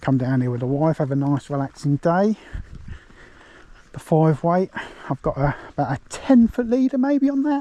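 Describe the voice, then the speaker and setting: A man with an English accent speaks at a moderate pace in a fairly high pitch and a dark, mellow tone, his pitch swinging very widely, with long, frequent pauses and a dry, close sound with no echo. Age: 40s. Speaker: fishing vlogger. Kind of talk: casual vlog narration. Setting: outdoors. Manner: lowered voice near the water.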